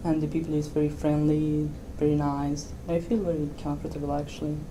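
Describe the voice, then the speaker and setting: Over noticeable background noise and audible room echo, a woman with a very deep, low pitch speaks at a fairly quick pace, her intonation monotone and flat and her loudness very even. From Argentina. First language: Spanish. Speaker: software developer. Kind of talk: interview. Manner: halting.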